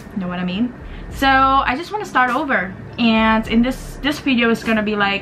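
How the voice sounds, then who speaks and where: A woman's speech comes through with noticeable background noise and audible room echo around it. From Indonesia (Jakarta). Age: 20s. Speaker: beauty vlogger and university student. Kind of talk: casual vlog talk to camera.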